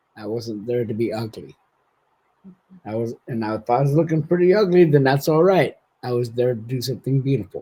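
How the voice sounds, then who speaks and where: A man with an American accent, medium pitch, somewhat breathy delivery, lively intonation and a fairly quick pace. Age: 60s. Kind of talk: casual interview conversation.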